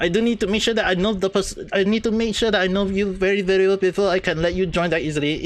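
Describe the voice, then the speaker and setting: There is noticeable background noise. Over it, a man talks at a very fast pace. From Southeast Asia, near Malaysia (Singapore or Brunei). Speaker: gaming streamer. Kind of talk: casual live stream chat. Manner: repetitive, halting.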